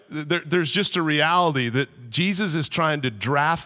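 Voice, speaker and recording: A man's voice with a bright, sharp tone. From US Midwest, South Dakota. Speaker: guest preacher, former American football player. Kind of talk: sermon. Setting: church.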